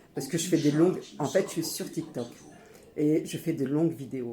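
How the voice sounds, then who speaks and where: A woman speaks in an animated tone. Some room echo can be heard. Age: 50s. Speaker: YouTuber, homemaker mother. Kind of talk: cooking tutorial vlog. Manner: casual, informal.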